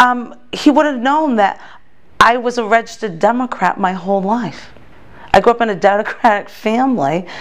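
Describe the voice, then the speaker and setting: Over music in the background, the speaker talks with an American accent at a moderate pace and ordinary pitch variation. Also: woman, fairly high pitch for a woman. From Massachusetts. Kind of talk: interview testimony. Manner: halting, many fillers and restarts.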